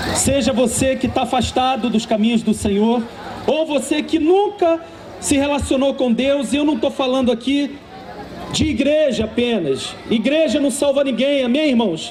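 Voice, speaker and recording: Crowd noise fills the background, and audible room echo surrounds a speaker with a Carioca accent. The pace is moderate, the loudness very even, and the pitch variation ordinary. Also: man, extremely high pitch for a man. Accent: carioca (Rio) accent, noticeable. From Rio de Janeiro, Brazil. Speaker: preacher. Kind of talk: sermon.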